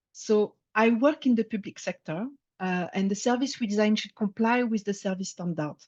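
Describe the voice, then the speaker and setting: In a French accent, a woman with a fairly high, somewhat breathy voice speaks at a fairly slow pace with ordinary pitch variation, in a dry, close sound with no echo against a quiet background. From France. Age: 50s. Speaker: service designer. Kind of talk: presentation talk. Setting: talk with slides to an audience. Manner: some hesitations (uh).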